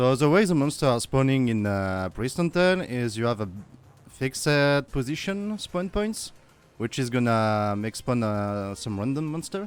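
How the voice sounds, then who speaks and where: With a French accent, a man of medium pitch speaks at a moderate pace using very wide pitch swings, with music in the background. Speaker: game developer streamer. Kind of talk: live coding stream tutorial. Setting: live stream with chat.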